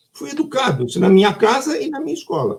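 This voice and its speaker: A man's voice with very wide pitch swings. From Brazil, São Paulo. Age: 70s. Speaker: children's book author. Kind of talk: online live talk. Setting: online live stream. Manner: conversational, animated.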